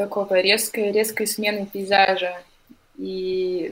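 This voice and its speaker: The speaker is a woman with a medium pitch. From Russia, Novosibirsk. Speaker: journalist. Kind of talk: casual chat.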